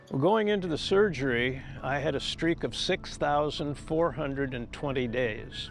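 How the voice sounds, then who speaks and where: Over music in the background, a man with a fairly high pitch speaks at a fairly slow pace with ordinary pitch variation and hardly any pauses. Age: 70s. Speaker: hip replacement patient, cyclist. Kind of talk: interview answer.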